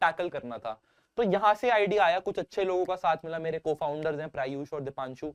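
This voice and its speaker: A dry, close sound with no echo, a moderate pace, lively intonation, and a quiet background. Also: man. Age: 20s. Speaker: startup founder. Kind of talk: interview. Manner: casual.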